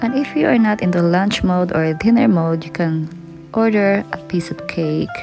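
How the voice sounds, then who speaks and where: With clear music in the background, a woman talks at a very slow pace. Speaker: food vlogger. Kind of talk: casual vlog chat. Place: cafe. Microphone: phone near.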